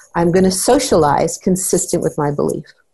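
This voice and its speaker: A woman speaks at a fairly quick pace in a dark, mellow tone that is somewhat breathy. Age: 60s. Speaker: parenting therapist and trainer. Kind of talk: interview.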